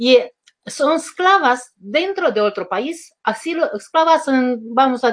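Lively intonation runs through this voice with a Romanian accent. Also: woman. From Romania, rural village. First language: Romanian (speaking Spanish). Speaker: life coach and author. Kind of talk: interview. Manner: halting.

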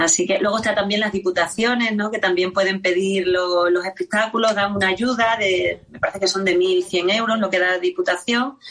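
Against noticeable background noise, a woman with an Extremaduran accent talks at a moderate pace in a medium pitch with ordinary pitch variation. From Extremadura, Spain. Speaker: copla singer and music teacher. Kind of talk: radio interview.

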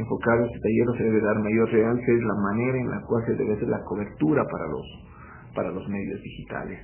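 Speaking at a fairly quick pace, a man uses a medium pitch. Audible room echo fills the space. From Ecuador. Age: 30s. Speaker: newspaper editor. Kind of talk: interview. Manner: halting, many fillers.

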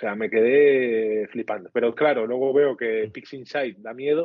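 A man speaks in an ordinary speaking voice at a medium pitch and a moderate pace. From Spain, Castilla y León. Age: 30s. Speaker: amateur astrophotographer. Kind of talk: casual interview.

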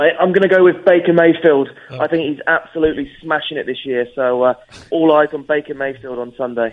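With an English accent, this man talks at a fairly quick pace in a fairly high voice that rises and falls in the usual way. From England. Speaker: fan club organizer. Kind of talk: phone interview.

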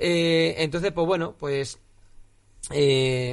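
A plain, everyday voice from a man, fairly high in pitch and fairly slow in pace. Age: 20s. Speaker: MMA podcast co-host. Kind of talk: casual chat.

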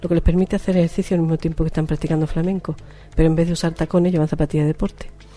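Music plays behind a woman talking very fast. Her fairly low voice is monotone and flat. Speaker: flamenco singer and radio host. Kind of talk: casual radio chat.

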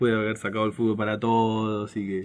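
A man with a normal speaking voice and fairly low pitch talks at a fairly quick pace. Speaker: radio host. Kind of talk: casual radio talk.

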